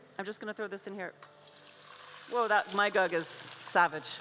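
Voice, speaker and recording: This woman has a medium pitch and an American accent. She speaks at a moderate pace over noticeable background noise. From USA. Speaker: chef and cookbook author. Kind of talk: cooking demonstration. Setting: stage with audience at food festival. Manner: casual, filler-heavy.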